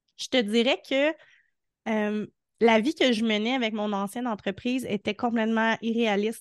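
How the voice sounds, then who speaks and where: Against a quiet background, a woman speaks at a fairly high pitch. Her pace is fairly slow, and the sound is dry and close with no echo. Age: 30s. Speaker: entrepreneur in the arts, mother. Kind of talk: casual interview.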